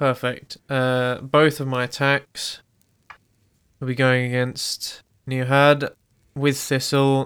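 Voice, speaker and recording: Very slow and full of long, frequent pauses, a man speaks with a British accent. His medium-pitched voice keeps a monotone, flat intonation. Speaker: player in tabletop role-playing game, co-host. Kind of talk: casual chat and roleplaying. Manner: casual, joking.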